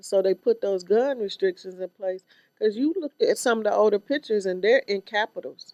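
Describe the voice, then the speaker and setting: A woman at a medium pitch speaks with ordinary pitch variation in a dry, close sound with no echo. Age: 60s. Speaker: state legislator and activist. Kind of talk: casual interview chat. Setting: video podcast studio.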